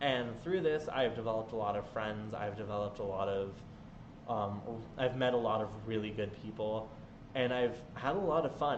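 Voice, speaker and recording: Over noticeable background noise and audible room echo, a man speaks at a moderate pace with a medium pitch and ordinary pitch variation. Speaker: gaming streamer. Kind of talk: live stream Q&A chat. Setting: home live stream. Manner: loud; animated.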